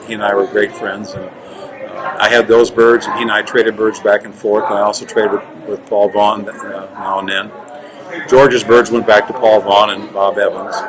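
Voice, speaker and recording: A man is talking at a moderate pace. Behind his voice, music can be heard. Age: 60s. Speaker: roller pigeon breeder. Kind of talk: interview. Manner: halting.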